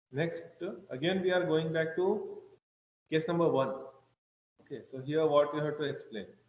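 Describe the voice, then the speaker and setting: Heard with audible room echo, a man speaks at a fairly high pitch with fairly even intonation and long, frequent pauses. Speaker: engineering lecturer. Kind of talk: online lecture. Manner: slow, deliberate.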